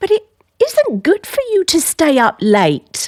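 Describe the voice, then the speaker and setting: Putting on a squeaky character voice at an extremely high pitch, a woman speaks fairly slowly with very wide pitch swings and very even loudness, the sound dry and close with no echo. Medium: audio drama. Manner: stiff, disapproving.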